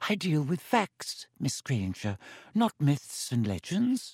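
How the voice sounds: A man does a put-on character voice, slow and fairly high, with very wide pitch swings. It sounds wheezy, slightly husky and slightly mellow, recorded dry and close with no echo. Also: very clean recording, silent background.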